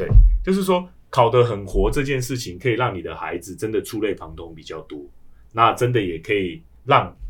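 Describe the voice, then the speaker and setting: Speaking in a Taiwanese accent, a man keeps a moderate pace and a medium pitch while his voice swings very widely in pitch. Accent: Taiwanese Mandarin. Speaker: education director. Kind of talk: casual chat.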